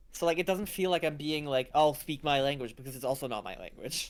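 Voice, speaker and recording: A man with a non-native accent speaks at a fairly quick pace. His voice sits fairly high in pitch. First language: not English. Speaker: game developer. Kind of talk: casual chat.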